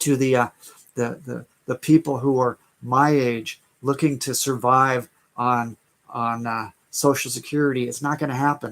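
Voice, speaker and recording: Heard as a dry, close sound with no echo, a man with an American accent talks at a moderate pace, his medium pitch in a monotone, flat intonation. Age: 60s. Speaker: online business coach. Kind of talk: live stream sales talk. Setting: live stream. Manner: halting, many fillers and repeats.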